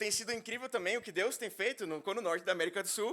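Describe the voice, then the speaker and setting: A man with a high pitch uses a raised, projected voice and a bright, sharp tone. His pitch variation is ordinary. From Brazil, interior of São Paulo state. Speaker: minister. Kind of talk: sermon. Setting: church.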